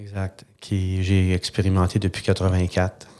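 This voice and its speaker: In a very clean recording with a silent background, a man speaks in a very deep, low pitch with a dark, mellow tone. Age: 60s. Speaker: sales and communication consultant. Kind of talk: interview.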